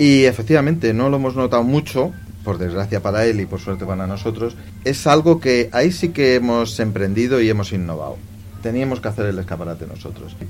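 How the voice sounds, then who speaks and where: Through noticeable background noise, a man with a medium pitch speaks at a fairly quick pace with lively intonation. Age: 50s. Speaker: clothing shop manager. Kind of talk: interview.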